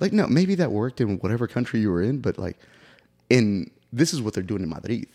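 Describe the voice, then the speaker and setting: With an American accent, a man with a dark, mellow tone talks at a very fast pace with very wide pitch swings, in a dry, close sound with no echo and a very clean recording with a silent background. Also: medium pitch for a man. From Oklahoma City, US. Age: 30s. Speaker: soccer goalkeeping coach. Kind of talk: casual chat.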